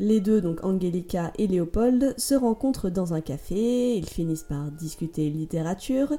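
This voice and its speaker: Her tone dark and mellow, a woman of medium pitch talks at a fairly slow pace with lively intonation. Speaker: podcast host. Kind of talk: storytelling monologue. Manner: animated. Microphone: sound problem for about half the episode.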